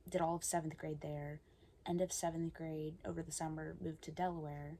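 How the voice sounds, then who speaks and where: Speaking at a fairly quick pace, a woman has a very deep, low pitch, a dark, mellow tone and monotone, flat intonation. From Pennsylvania, US. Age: 20s. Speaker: ASMR youtuber. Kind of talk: casual Q&A chat to camera. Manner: hesitant, many fillers.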